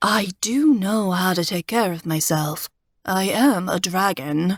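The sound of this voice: A female-sounding put-on character voice at middle pitch comes out whiny and fairly slow.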